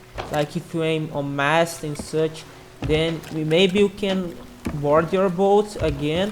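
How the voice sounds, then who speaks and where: A woman with a non-native accent speaks very slowly in a fairly low pitch, her intonation fairly even, with noticeable background noise behind her. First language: not English. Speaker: gaming youtuber. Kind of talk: casual commentary. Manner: halting, many repetitions.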